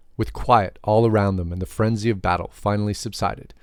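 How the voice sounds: Natural-sounding reading aloud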